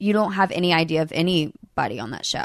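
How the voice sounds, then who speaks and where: A woman's fairly low voice in a Southern US accent, with lively intonation at a moderate pace. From Alabama, Birmingham. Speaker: reality TV alum. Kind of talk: casual chat. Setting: in person at a lake house.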